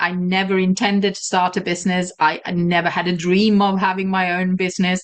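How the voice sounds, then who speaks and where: A medium-pitched woman with a slight Swedish accent. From Sweden. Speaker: virtual assistant and entrepreneur. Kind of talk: interview.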